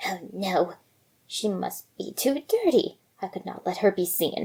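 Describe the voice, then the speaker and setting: A woman in a put-on character voice speaks at medium pitch and a fairly slow pace. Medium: read story.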